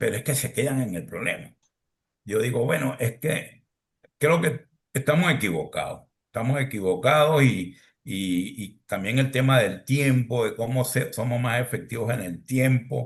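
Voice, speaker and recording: Somewhat breathy and fairly slow, a man speaks at a medium pitch with ordinary pitch variation. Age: 60s. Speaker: podcast host. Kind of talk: podcast panel discussion.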